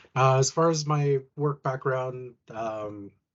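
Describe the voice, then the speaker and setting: A man's ordinary speaking voice at medium pitch with ordinary pitch variation. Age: 30s. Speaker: furniture assembler and retail team lead. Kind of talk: interview.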